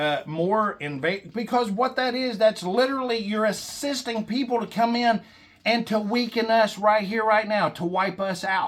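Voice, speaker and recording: An animated man speaks at a fairly slow pace in a high pitch. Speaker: political commentator vlogger. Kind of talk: political rant. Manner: stammering, halting.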